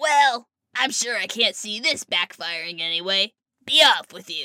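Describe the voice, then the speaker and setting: A put-on character voice, female-sounding and fairly high in pitch. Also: moderate pace. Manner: roaring, greedy.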